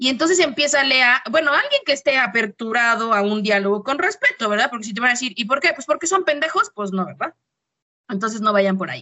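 With a Mexican accent, a woman talks at a very fast pace in an animated tone, her high pitch carried by lively intonation. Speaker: podcast co-host, teacher. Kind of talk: casual chat.

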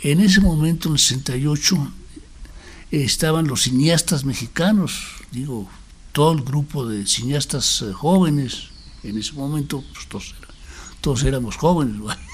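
Somewhat breathy and fairly high-pitched, a man speaks at a fairly slow pace with lively intonation and long, frequent pauses. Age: 80s+. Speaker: documentary filmmaker. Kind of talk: interview.

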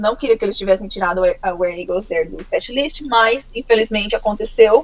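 Fairly high pitch for a woman, a moderate speed, and noticeable noise in the background. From Brazil, Campo Grande, Mato Grosso do Sul. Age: 20s. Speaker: heavy metal fan, musician. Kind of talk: casual interview.

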